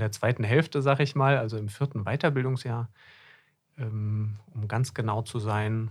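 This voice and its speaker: A man talks at a medium pitch in an unremarkable speaking voice. The recording is very clean, with a silent background. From Germany, Hesse. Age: 30s. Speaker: podcast co-host, doctor in GP training. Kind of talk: casual chat. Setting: studio.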